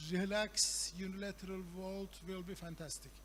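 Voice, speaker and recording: Speaking with a Turkish accent, a man talks at a fairly slow pace. Audible room echo surrounds his voice. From Turkey. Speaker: professor. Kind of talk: conference talk. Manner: halting, many fillers.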